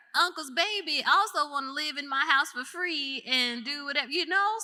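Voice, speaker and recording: Over noticeable background noise, a woman projects a raised, high-pitched voice with lively intonation. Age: 40s. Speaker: entrepreneur and former school principal. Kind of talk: live interview conversation. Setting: stage with live audience. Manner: casual, animated.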